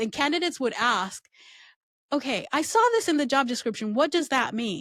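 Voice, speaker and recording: Lively intonation from a woman at a moderate pace, on a very clean recording with a silent background. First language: not English. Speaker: recruiting and employer branding expert. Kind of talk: interview conversation.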